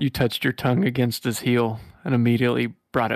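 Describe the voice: Over a quiet background comes plain reading aloud.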